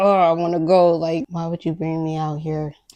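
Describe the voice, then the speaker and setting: This put-on character voice sounds strained, holding a middle pitch with monotone, flat intonation at a moderate pace. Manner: strained, pained.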